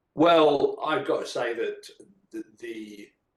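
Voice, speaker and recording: Speaking with an English accent, a man talks at a fairly slow pace. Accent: English, noticeable in his singing. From England. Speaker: metal band guitarist and vocalist. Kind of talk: casual podcast interview.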